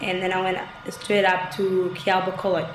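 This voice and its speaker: Audible room echo fills the recording. Noticeable background noise is present as well. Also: woman. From Egypt. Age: 20s. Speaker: student. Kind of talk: interview.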